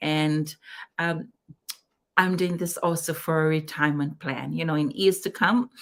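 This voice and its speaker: A woman speaks with a Fijian accent in a fairly low pitch. Her pace is moderate, broken by long, frequent pauses. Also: ordinary pitch variation. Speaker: digital business owner, co-host. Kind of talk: live-stream business chat. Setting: online live stream.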